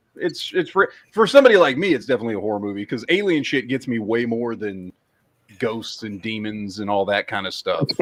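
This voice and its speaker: This man talks at a fairly quick pace with an American accent. His medium-pitched voice has lively intonation. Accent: Texas accent, comes out at times. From Texas. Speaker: podcast host. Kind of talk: casual chat. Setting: livestream with co-hosts.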